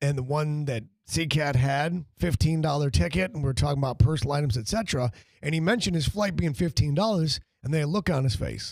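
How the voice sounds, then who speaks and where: Somewhat breathy, a man with a fairly high pitch talks at a fairly quick pace with lively intonation. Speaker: sports radio host. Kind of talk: casual chat. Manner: fast.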